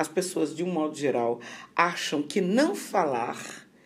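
Audible room echo surrounds the speaker. A woman talks at a very slow pace. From Rio de Janeiro, Brazil. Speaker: occupational therapy professor. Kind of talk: interview on mental health.

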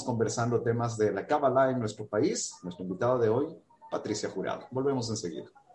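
Fairly quick delivery over noticeable background noise. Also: man. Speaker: radio interview host. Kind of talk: interview. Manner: hesitant with filler words.

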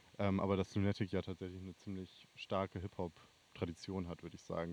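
In a dry, close recording with no echo, a man speaks with a very deep, low pitch and monotone, flat intonation. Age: 20s. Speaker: student and festival booker. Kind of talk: casual chat.

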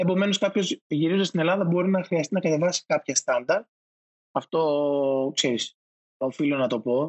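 A man speaks at a moderate pace with a fairly high pitch, ordinary pitch variation, very even loudness, and long, frequent pauses. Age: 30s. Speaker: digital marketing manager. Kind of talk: interview.

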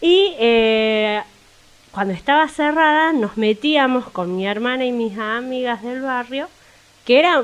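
The speaker uses ordinary pitch variation and keeps a fairly slow pace. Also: woman. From Buenos Aires, Argentina. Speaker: actress. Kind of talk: casual chat.

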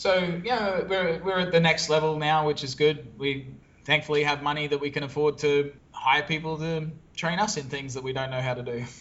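A man with an Australian accent talks at a fairly quick pace, his fairly high pitch showing ordinary variation. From Australia, Brisbane. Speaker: SEO business owner. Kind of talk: interview conversation.

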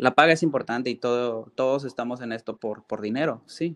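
Here a man talks with a Mexico City accent at a medium pitch. The sound is dry and close, with no echo. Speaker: chef. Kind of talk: interview.

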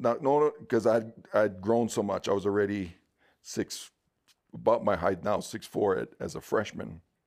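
Vocal fry colors a man's fairly low voice as he talks at a moderate pace with ordinary pitch variation. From Hawaii, Honolulu. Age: 50s. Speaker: church elder, former pro football player. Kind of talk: interview, life story.

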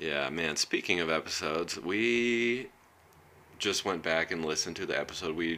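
Speaking at a moderate pace, a man has a very deep, low pitch with vocal fry. His tone is bright and sharp, and his intonation is lively. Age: 30s. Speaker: podcast host. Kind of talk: casual chat.

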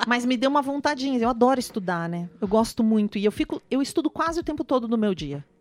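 A high-pitched woman at a very fast pace, very wide pitch swings, hardly any pauses. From Brazil, raised in many regions. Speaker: actress. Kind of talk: casual chat.

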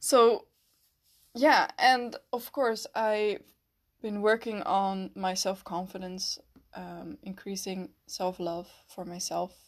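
Recorded very cleanly against a silent background, a woman with a Dutch accent speaks very slowly at a medium pitch with ordinary pitch variation and big swings in loudness. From Netherlands. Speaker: podcast host. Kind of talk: personal reflective monologue. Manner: hesitant, many fillers.

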